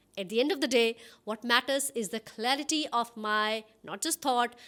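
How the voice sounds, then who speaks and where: A woman speaks with a bright, sharp tone and lively intonation. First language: an Indian language, English is her third. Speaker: communication coach. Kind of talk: tutorial.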